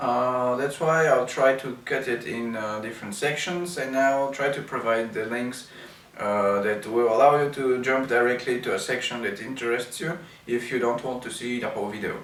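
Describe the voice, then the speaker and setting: Amid noticeable background noise and audible room echo, a man with a Bulgarian accent speaks at a moderate pace with a medium pitch and fairly even intonation. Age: 30s. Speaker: wheelchair user and video blogger. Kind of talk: product review. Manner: hesitant, many fillers.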